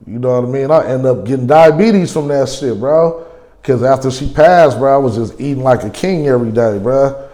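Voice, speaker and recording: Over noticeable background noise and audible room echo, a man with a medium pitch talks at a fairly quick pace with ordinary pitch variation. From California. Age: 40s. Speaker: interviewee, recovering gambling addict. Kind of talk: documentary interview. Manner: casual, slangy.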